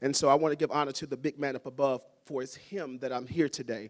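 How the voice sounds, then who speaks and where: A man with a Southern US accent talks at a very fast pace in a fairly high pitch with fairly even intonation. The recording is very clean and dry, close with no echo over a silent background. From US South. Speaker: school principal. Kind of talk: ceremony speech.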